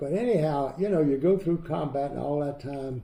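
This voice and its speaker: Here a man with an American accent has a fairly high pitch and a dark, mellow tone. He sounds somewhat breathy, with ordinary pitch variation. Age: 90s. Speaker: WWII veteran and Dachau liberator. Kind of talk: interview answer, recounting war memories.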